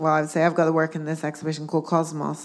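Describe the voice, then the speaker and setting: A Dublin accent in a very clean recording with a silent background. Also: woman. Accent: Irish (Dublin). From Ireland, Dublin. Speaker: sculptor. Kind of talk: onstage public conversation. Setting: stage with audience.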